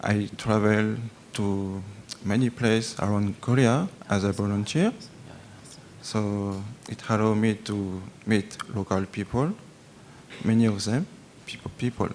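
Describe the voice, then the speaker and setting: Over noticeable background noise, a man with a French accent and a fairly low pitch speaks at a fairly slow pace with fairly even intonation and long, frequent pauses. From France. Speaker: agricultural volunteer. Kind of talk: audience question at a Q&A. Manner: hesitant, halting.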